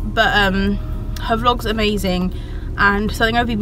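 A woman at a moderate pace, dry and echo-free, over noticeable background noise. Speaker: vlogger. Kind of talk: casual vlog chat. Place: car. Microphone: phone near.

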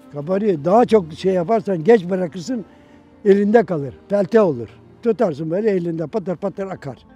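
Faint music plays behind a man with a high pitch who talks at a fairly quick pace with ordinary pitch variation, the sound dry with no echo. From Turkey. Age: 80s+. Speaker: parchment maker. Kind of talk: interview. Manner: halting. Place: garden.

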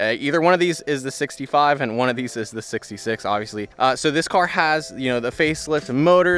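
A man at a moderate pace, dry with no echo, with faint music in the background. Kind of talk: casual vlog walkaround commentary. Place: street. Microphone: phone near.

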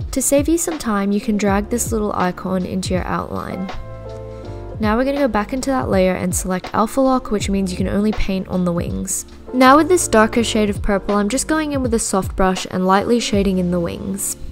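With music in the background, a woman talks fairly quickly. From Australia. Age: 20s. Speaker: digital artist. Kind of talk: drawing tutorial narration.

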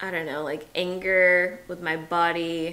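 Speaking very slowly with an American accent, a woman uses a fairly low, bright, sharp voice in a monotone, flat intonation. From US South, Atlanta; US South. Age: 30s. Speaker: teacher, vlogger. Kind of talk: casual chat; casual vlog chat. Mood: serious, emotional. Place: home room. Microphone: camera far.

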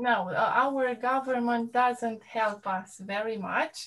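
A fairly high-pitched woman at a very slow pace, with ordinary pitch variation. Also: quiet background. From Romania. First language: Romanian. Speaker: teacher. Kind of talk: casual chat. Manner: halting. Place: home room. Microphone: video call.

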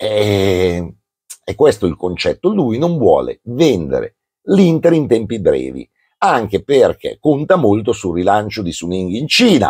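A man talking at a fairly slow pace against a quiet background. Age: 60s. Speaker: football commentator. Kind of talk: casual chat. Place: home room. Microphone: lapel.

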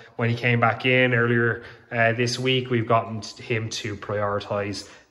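A man speaks at a fairly slow pace with fairly even intonation. Room echo is audible. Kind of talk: casual vlog walkthrough. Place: home room. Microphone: phone near.

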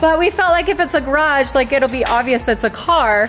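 With faint music in the background, a woman speaks at a fairly quick pace in a high voice. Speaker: family vlogger. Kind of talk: casual vlog chat. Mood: excited, upbeat. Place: street. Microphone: phone near.

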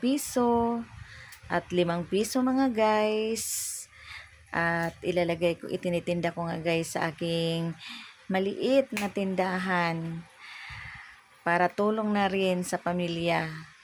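Very slowly, a woman speaks in a fairly low pitch. Her pitch varies in an ordinary way. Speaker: small shop owner and vlogger. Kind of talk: casual vlog tutorial.

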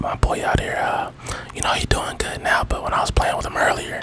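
A man is whispering. His words come out in a hushed whisper. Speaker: gaming ASMR YouTuber. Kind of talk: casual gameplay commentary. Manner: animated, reactive, excited. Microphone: studio mic.

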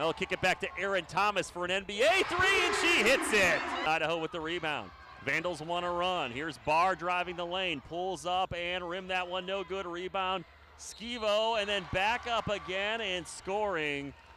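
Over noticeable background noise, a man with a high pitch speaks at a moderate pace in an energetic tone. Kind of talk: live play-by-play sports commentary over game highlights. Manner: clipped, energetic, stumbles and restarts mid-call as the action moves.

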